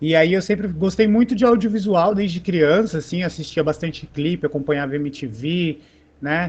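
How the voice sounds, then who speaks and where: A man speaks at a moderate pace in a high pitch. His pitch varies in an ordinary way. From São Paulo, Brasilândia. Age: 30s. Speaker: art educator. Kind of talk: panel discussion. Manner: casual, hesitant with filler words.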